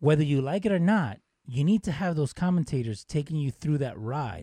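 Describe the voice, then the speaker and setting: A man with a fairly high pitch and a dark, mellow, somewhat breathy tone speaks with lively intonation. The recording is very clean, with a silent background and a dry, close sound with no echo. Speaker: podcast co-host. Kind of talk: casual banter.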